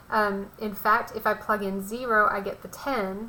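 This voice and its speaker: Amid audible room echo, a woman speaks in a fairly high pitch with monotone, flat intonation. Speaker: math teacher. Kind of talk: lecture.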